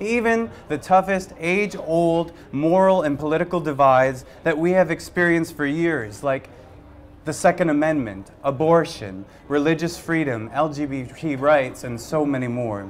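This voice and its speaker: Someone talks at a fairly slow pace over light background noise. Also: man. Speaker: candidate. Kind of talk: campaign speech. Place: bar. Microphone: handheld.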